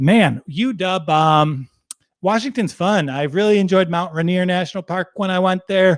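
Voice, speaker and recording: Recorded with a dry, close sound and no echo, a man speaks at a high pitch with ordinary pitch variation. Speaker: sports betting streamer. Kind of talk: casual live stream chat. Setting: live stream from home.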